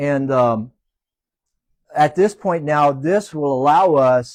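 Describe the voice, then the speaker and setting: The man's pitch is fairly high, and he speaks at a very slow pace. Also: ordinary pitch variation. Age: 60s. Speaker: small business owner. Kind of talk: panel interview.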